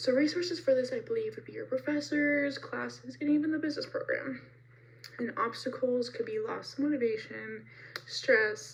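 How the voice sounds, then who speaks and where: Amid noticeable background noise, a woman speaks at a moderate pace with big swings in loudness. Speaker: college student. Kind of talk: class presentation.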